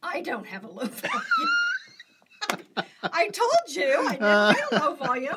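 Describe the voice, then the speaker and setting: A woman with a high pitch talks in a raised, projected voice, her pitch swinging very widely and her loudness rising and falling sharply. She keeps a moderate pace with long, frequent pauses over loud background noise. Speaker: quilting channel host. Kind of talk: casual chat. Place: home room. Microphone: phone near.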